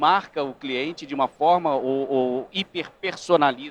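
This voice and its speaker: Fairly slow male speech, fairly high in pitch, with ordinary pitch variation. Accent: Rio de Janeiro. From Rio de Janeiro, Brazil. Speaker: panel moderator. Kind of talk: panel discussion.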